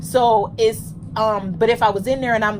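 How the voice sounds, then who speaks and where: A woman speaks loudly in a fairly high voice over noticeable background noise. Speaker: podcast co-host. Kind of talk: casual chat.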